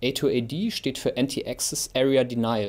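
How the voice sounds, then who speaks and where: A medium-pitched male voice with ordinary pitch variation. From Germany. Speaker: military expert; military analyst. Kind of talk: expert interview. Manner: halting. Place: studio.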